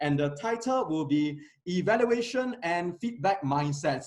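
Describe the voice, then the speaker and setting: This man's high voice swings very widely in pitch. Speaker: meeting emcee at a speaking club. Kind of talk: meeting hosting. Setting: stage with audience. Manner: fast.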